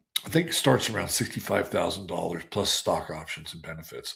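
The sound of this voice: A man puts on a raspy character voice, fairly low in pitch. He speaks at a fairly quick pace.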